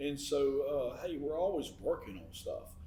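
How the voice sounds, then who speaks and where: A man speaks at a fairly slow pace, with audible echo in the room. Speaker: podcast co-host. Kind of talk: casual chat. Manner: words run together.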